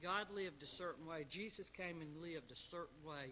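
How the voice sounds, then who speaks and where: A man with a South Carolina accent has a bright, sharp tone and a fairly high pitch. He speaks at a moderate pace with ordinary pitch variation. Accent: Southern US (South Carolina). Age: 60s. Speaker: Sunday school teacher. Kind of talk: Bible lesson. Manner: halting.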